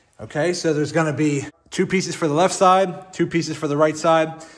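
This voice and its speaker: Fairly quick speech from a man with fairly even intonation. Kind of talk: tutorial. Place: garage. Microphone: phone near.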